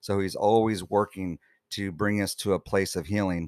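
On a very clean recording with a silent background and a dry, close sound with no echo, a man with a fairly low pitch speaks at a moderate pace in an unremarkable speaking voice. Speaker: worship leader. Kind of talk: testimony.

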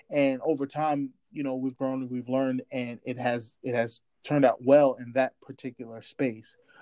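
The man's tone is dark and mellow. The background is quiet. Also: dry, close sound with no echo. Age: 30s. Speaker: podcast co-host. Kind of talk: casual chat.

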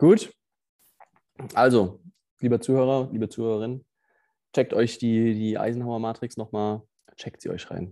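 With a dark, mellow tone and medium pitch, a man speaks at a moderate pace using fairly even intonation, big swings in loudness and long, frequent pauses. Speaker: sales team leader and podcast co-host. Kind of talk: casual chat.

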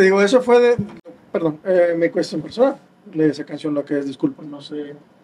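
A high-pitched man with lively intonation, big swings in loudness and a moderate pace, over noticeable background noise. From Mexico, Nuevo León (San Nicolás de los Garza). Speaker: drummer. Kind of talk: interview.

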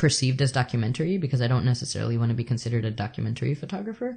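A somewhat breathy man's voice at medium pitch, with ordinary pitch variation, against a quiet background. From El Salvador. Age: 30s. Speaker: photographer and artist. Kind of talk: interview conversation. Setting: at the host's home.

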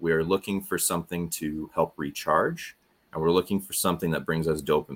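Very deep and low, this man's voice moves at a moderate pace with fairly even intonation. The recording is very clean, with a silent background. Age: 30s. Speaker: podcast coach. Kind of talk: interview.

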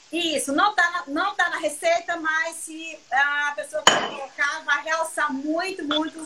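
Over noticeable background noise, a woman with an extremely high pitch projects a raised voice at a very slow pace, her intonation fairly even and hardly any pauses. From Brazil, southern Bahia. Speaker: chef. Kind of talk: cooking live stream chat. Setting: video call.

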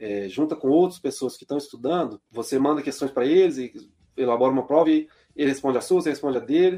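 Very fast and fairly high-pitched, a man speaks in a dark, mellow tone with ordinary pitch variation and big swings in loudness. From Belo Horizonte, Minas Gerais, Brazil. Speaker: labour court judge. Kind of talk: interview.

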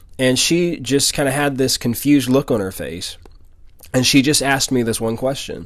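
Here a man with an American accent talks at a moderate pace and medium pitch in a plain, everyday voice. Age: 20s. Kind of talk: devotional talk with personal testimony.

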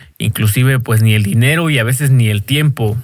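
A man's somewhat breathy voice moves at a fairly quick pace with ordinary pitch variation. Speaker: podcaster and DJ. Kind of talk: casual monologue. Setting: home bedroom. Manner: halting.

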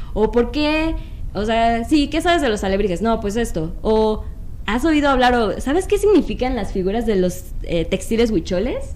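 A woman speaks at a moderate pace and a fairly high pitch, her intonation lively. Room echo and background noise are both noticeable. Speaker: board game designer and publisher. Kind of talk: casual chat.

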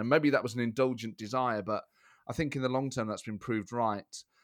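A man with an East Midlands accent speaks at a medium pitch with fairly even intonation, in a very clean recording with a silent background. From England, Nottingham. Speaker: comedian and podcast host. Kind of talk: interview conversation.

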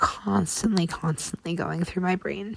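A woman's somewhat breathy voice, dark and mellow in tone, with a dry, close sound and no echo. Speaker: podcast host sharing survivor story. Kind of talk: personal testimony monologue. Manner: halting, with fillers and repetitions.

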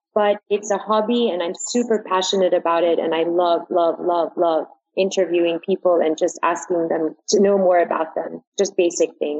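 A woman with an ordinary speaking voice talks at a moderate pace with hardly any pauses, her pitch fairly low and her intonation fairly even. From New York. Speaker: modeling agency manager. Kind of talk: interview.

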